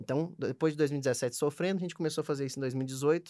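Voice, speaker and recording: On a very clean recording with a silent background, a man talks fairly quickly in an unremarkable speaking voice with fairly even intonation. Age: 20s. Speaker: startup founder. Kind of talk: casual interview.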